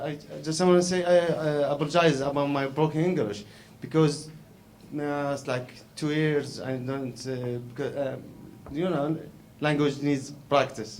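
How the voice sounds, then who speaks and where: With an Arabic accent and fairly even intonation, a man speaks amid audible room echo. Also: fairly high pitch for a man, moderate pace. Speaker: documentary filmmaker. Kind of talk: Q&A answer. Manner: halting, many repetitions.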